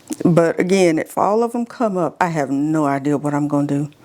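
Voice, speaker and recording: A woman with an American accent speaks at a moderate pace in an animated tone, her pitch swinging very widely over noticeable background noise. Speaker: home gardening video host. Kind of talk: casual tutorial. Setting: indoor seed room, windows open. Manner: chatty, animated.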